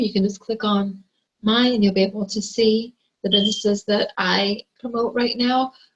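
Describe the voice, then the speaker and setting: A woman's fairly high, somewhat breathy voice moves at a moderate pace, with fairly even intonation. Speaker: online marketer. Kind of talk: tutorial.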